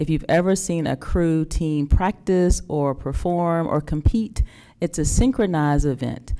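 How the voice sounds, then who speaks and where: A woman with a Southern US accent speaks in a very deep, low pitch and a dark, mellow tone, in a very clean recording with a silent background. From North Carolina. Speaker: school district administrator. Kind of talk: presentation to a public board meeting.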